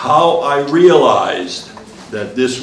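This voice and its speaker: Audible room echo and noticeable background noise surround speech with ordinary pitch variation. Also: man. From northern Maine, St. John Valley. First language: French. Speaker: former state legislator. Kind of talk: commemorative speech. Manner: halting.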